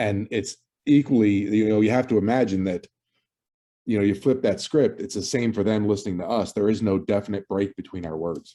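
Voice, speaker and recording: A mumbling man with a New Jersey accent, dark and mellow in tone, fairly low in pitch, with ordinary pitch variation at a fairly quick pace. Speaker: podcast co-host. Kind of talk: casual chat. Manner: halting, many fillers and repeats.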